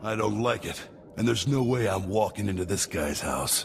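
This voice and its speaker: A raspy, put-on character voice from a man, fairly low in pitch, with ordinary pitch variation, a moderate pace and clear background noise. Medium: video game. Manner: sarcastic, casual.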